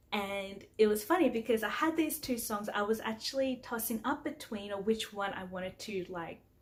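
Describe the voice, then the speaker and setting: A woman with an Australian accent talks at a moderate pace with lively intonation on a very clean recording with a silent background. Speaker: singer-songwriter. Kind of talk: casual vlog talk. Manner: casual, with frequent fillers.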